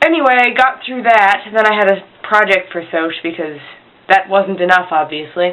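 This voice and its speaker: A woman's moderate pace of speech comes through despite noticeable background noise. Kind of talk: casual talk to camera. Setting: poor home recording. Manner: rambling.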